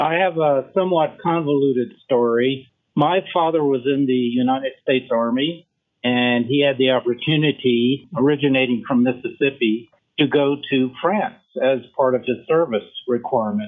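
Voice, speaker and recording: Keeping a very even loudness, a man at medium pitch speaks at a moderate pace with ordinary pitch variation. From US South, Memphis, Tennessee. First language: French. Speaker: rheumatologist. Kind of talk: interview.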